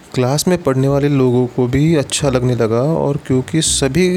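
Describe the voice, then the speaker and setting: A man at medium pitch talks with ordinary pitch variation over noticeable background noise. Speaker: storyteller. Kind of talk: storytelling narration.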